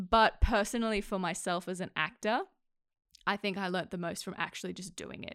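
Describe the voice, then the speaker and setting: A woman with an Australian accent, medium in pitch, fairly even in intonation, at a fairly quick pace. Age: 20s. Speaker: actor and accent coach. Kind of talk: casual chat.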